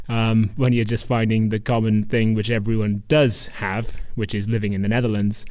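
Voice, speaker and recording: In a Welsh accent, a man speaks at a moderate pace with medium pitch and monotone, flat intonation. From Wales. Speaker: stand-up comedian. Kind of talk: podcast interview answer.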